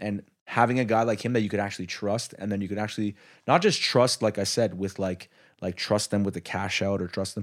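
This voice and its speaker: A man with a normal speaking voice talks at a fairly quick pace in a fairly low pitch with fairly even intonation, on a very clean recording with a silent background. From Quebec, Canada. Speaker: podcast host. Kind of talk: casual interview. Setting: in a restaurant.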